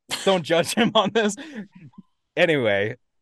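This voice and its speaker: Using vocal fry and very wide pitch swings, this voice with an American accent moves at a moderate pace. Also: man. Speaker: podcast co-host presenting a topic. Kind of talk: casual presentation to friends.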